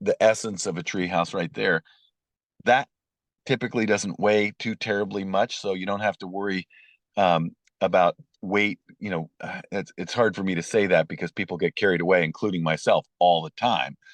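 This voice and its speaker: A man's fairly low-pitched, ordinary speaking voice at a moderate pace, with ordinary pitch variation, a quiet background and a dry, close sound with no echo. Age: 60s. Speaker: treehouse builder and TV personality. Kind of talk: interview. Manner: conversational with many fillers and restarts.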